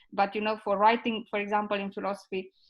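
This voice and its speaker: A woman with a medium-pitched voice talks at a very fast pace with monotone, flat intonation. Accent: Romanian. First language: Romanian. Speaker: ethics expert. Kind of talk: panel discussion. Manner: halting.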